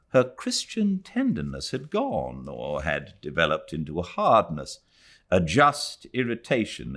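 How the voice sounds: Very wide pitch swings mark this man's speech. His pace is fairly slow. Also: fairly bright tone.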